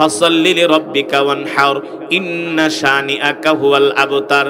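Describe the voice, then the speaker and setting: Over music in the background, a man speaks in a passionate, dramatic tone. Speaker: Islamic preacher and Quran reciter. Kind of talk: Islamic sermon (waz) in an emotive storytelling style. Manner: passionate, dramatic, preaching with exclamations.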